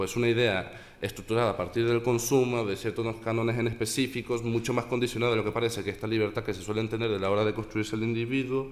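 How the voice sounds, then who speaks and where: A man speaks at a fairly quick pace. His pitch sits in the medium range. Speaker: conference speaker. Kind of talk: academic presentation. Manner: fast.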